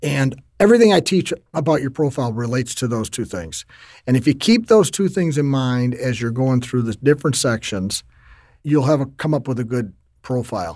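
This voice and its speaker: Over a very clean recording with a silent background, a man with an American accent and an ordinary speaking voice talks at a moderate pace, medium in pitch, with lively intonation. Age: 50s. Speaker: LinkedIn trainer and author. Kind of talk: interview.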